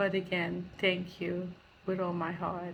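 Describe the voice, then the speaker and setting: In a monotone, flat intonation, a woman speaks very slowly at a medium pitch, somewhat breathy, with audible room echo. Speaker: charity founder. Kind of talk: recorded thank-you message. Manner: halting.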